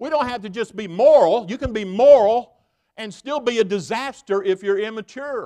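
A man with a Southern US accent and a high pitch at a moderate pace, ordinary pitch variation, big swings in loudness, quiet background. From US South (Tennessee). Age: 60s. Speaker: guest preacher. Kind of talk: sermon. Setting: church. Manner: animated; folksy, colloquial.

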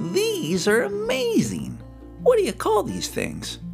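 A man puts on a character voice, talking fairly slowly while music plays clearly behind him. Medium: read story. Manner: eager, excitable.

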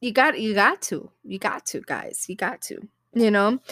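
Bright and sharp in tone, a woman speaks in a raised, projected voice with an animated delivery, the sound dry and close with no echo. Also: very clean recording, silent background. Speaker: podcast host. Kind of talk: casual chat. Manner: halting.

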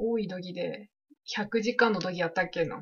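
A woman talks with ordinary pitch variation. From Japan, Shonai region of Yamagata. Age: 20s. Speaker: podcast co-host. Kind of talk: casual chat.

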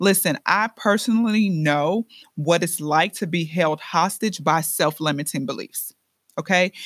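Woman with an American accent, fairly low pitch, animated tone and ordinary pitch variation, in a dry, close sound with no echo on a very clean recording with a silent background. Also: fairly slow pace. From Chicago, US Midwest. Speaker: podcast host and entrepreneur. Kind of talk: motivational podcast monologue.

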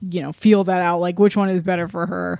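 A woman with a normal speaking voice talks at a fairly low pitch with fairly even intonation on a very clean recording with a silent background. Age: 20s. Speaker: podcast co-host. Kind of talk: casual chat.

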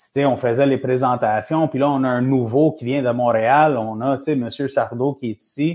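A man's plain, everyday voice, medium in pitch, at a moderate pace with fairly even intonation, on a very clean recording with a silent background. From Montreal, Quebec. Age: 40s. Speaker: men's support group founder and coach. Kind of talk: casual interview. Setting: live stream.

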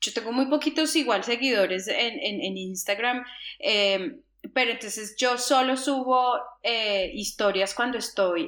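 At moderate speed, a woman talks in an unremarkable speaking voice whose pitch varies in an ordinary way. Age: 40s. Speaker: travel podcast co-host. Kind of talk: casual chat.

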